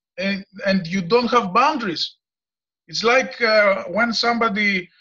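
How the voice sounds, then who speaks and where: In a Greek accent, a man speaks in a raised, projected voice at a fairly slow pace. His pitch is high, with ordinary variation and a bright, sharp tone. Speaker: farmer and former mechanical engineer. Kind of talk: discussion comment in a video meeting. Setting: video call. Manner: halting, many hesitations.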